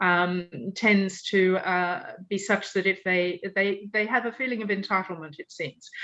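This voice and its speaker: Speaking at a fairly slow pace, a woman with an Australian accent keeps her intonation fairly even. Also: medium pitch for a woman. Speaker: UN victims' rights advocate. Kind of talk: Q&A answer in online panel talk. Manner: hesitant, many fillers.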